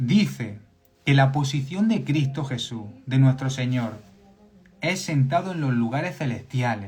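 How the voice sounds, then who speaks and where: In a Spanish accent, a somewhat breathy voice speaks at a fairly slow pace with an animated tone and lively intonation, with audible room echo around it. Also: man, medium pitch for a man. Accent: Spanish (Spain). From Spain. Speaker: preacher. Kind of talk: sermon. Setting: live stream. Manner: animated, repetitive emphasis.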